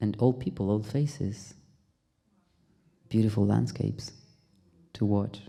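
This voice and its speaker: With a dark, mellow tone and a somewhat breathy quality, a man speaks fairly slowly at a fairly low pitch, with ordinary pitch variation and long, frequent pauses. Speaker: actor. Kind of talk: Q&A after film screening.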